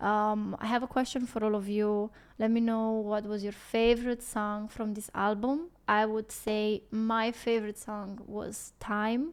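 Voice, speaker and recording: A woman with a non-native accent speaks in a fairly high voice at a fairly slow pace, with hardly any pauses. Her intonation stays monotone and flat. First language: not English. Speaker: music reaction YouTuber. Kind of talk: casual reaction video outro. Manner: halting.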